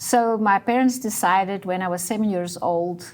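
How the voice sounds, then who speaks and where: With a Dutch accent, a woman speaks at a medium pitch and a moderate pace with ordinary pitch variation. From South Africa, Dutch family. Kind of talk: interview. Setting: studio.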